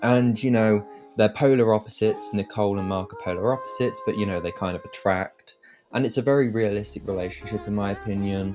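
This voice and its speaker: Very fast speech from a man with a fairly low pitch and ordinary pitch variation, music in the background. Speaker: video game reviewer. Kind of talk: video review. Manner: halting, self-described stuttering; enthusiastic.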